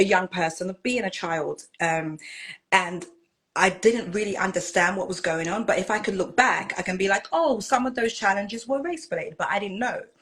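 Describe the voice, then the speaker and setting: A woman speaks with a British accent. Her pace is fairly quick. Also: medium pitch for a woman, ordinary pitch variation. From Britain. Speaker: minister and pageant titleholder. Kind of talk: interview.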